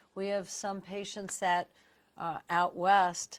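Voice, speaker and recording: A woman in a New York accent speaks at a fairly low pitch with monotone, flat intonation. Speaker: radiologist. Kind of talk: interview. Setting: live stream.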